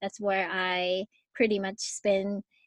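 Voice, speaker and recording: In a Japanese accent, a woman speaks at a medium pitch, the sound dry and close with no echo. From Japan, Yokohama. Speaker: podcast host and life coach. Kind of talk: casual interview.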